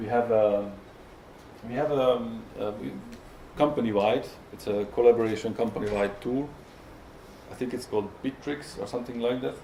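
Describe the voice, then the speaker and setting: With a Hungarian accent, a man speaks at medium pitch and a moderate pace, using ordinary pitch variation and long, frequent pauses, with audible room echo. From Hungary. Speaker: software tester. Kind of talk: conference talk. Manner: halting, many fillers and repetitions.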